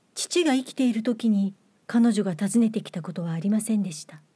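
A woman speaks at a fairly high pitch in a dark, mellow, somewhat breathy tone with ordinary pitch variation. The recording is very clean, with a silent background. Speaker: actress and reader. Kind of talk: literary audiobook reading.

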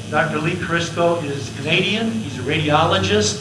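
Noticeable background noise runs behind a man talking at a moderate pace. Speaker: event host. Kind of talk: event introduction. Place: meeting room. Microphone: handheld.

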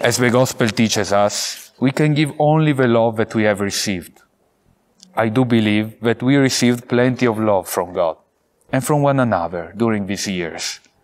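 A man talks at a moderate pace with an Italian accent. His pitch varies in an ordinary way. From Italy, Vicenza; Italy. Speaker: priest, theology graduate; priest. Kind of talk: valedictory speech. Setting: pre-recorded video, outdoors at a seminary. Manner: formal. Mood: warm, grateful, earnest. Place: garden.

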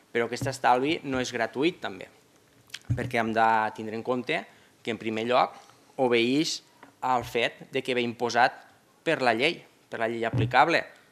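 A man with a medium-pitched voice talks fairly slowly, pausing long and often, with fairly even intonation. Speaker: opposition councillor. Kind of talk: formal council debate. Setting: municipal council chamber. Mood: argumentative, measured. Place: hall. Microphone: podium.

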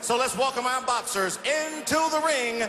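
With a raised, projected voice and an energetic tone, a man speaks at a fairly slow pace with ordinary pitch variation, with audible room echo and light background noise. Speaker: presenter, boxing ring announcer. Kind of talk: boxing ring announcer show reel. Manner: loud, energetic, hyping the crowd. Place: hall. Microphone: handheld.

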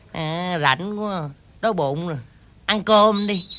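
The speech moves at a very slow pace. Light background noise is present. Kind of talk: scripted drama dialogue. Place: forest.

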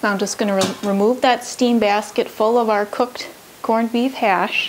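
A woman speaks at a moderate speed, her pitch varying in an ordinary way, with light background noise behind her. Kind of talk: tutorial. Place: kitchen.

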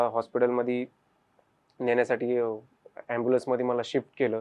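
This man has a medium-pitched voice, a plain, everyday voice. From Pune, Maharashtra, India. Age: 20s. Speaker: wheelchair cricket captain and lab technician. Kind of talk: first-person testimony.

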